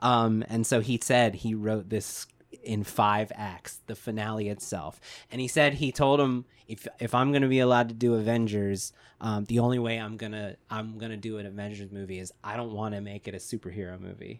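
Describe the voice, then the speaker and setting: A man talks fairly quickly in an ordinary speaking voice with a fairly low pitch. His intonation stays fairly even, while his loudness swings a lot. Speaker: screenwriting podcast co-host. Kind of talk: casual chat.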